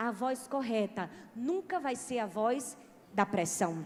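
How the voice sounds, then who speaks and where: A woman with a strong northeastern Brazilian accent speaks over noticeable background noise. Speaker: pastor. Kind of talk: sermon.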